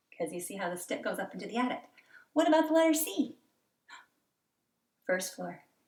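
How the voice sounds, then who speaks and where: Animated in tone, a woman with a medium pitch and very wide pitch swings talks at a fairly quick pace, somewhat breathy, with long, frequent pauses. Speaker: elementary school teacher. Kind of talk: tutorial for young children.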